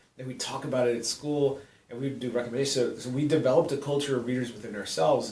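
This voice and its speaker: This man talks at a very fast pace with a medium pitch. His intonation is fairly even, and the room echo is audible. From Southern California (South Gate). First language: Spanish. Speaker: middle school English teacher. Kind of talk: testimony.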